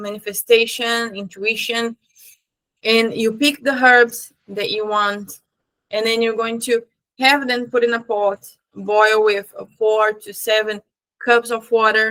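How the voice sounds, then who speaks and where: A woman speaks very slowly in a fairly high, bright, sharp voice with monotone, flat intonation. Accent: slight Brazilian. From Brazil. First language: Portuguese. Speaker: spiritual teacher. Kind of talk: tutorial. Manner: casual; halting.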